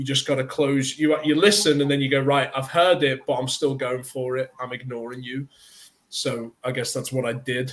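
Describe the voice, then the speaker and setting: In a British accent, a man speaks at a moderate pace, medium in pitch with fairly even intonation. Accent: British accent, can drop it. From northern England, near Liverpool. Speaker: actor. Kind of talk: interview.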